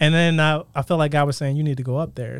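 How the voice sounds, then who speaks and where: A man talks in a plain, everyday voice. His pitch is fairly high and his intonation fairly even. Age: 30s. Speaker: Bible college graduate, church leader. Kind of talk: casual chat.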